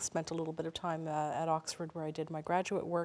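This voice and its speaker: A woman speaks in a fairly low voice. Her intonation is monotone and flat. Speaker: guest. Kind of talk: interview answer. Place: hall. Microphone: lapel.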